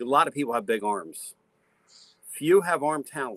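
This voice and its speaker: The man's voice sits at medium pitch with a bright, sharp tone. The sound is dry and close with no echo, and his pace is moderate. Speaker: radio talk show host. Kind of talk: sports radio talk.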